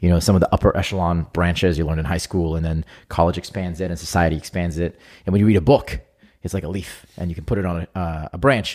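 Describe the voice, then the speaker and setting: Speaking very fast, a man uses a very deep, low pitch with ordinary pitch variation. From Israel. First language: Hebrew. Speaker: entrepreneur. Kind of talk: casual interview chat.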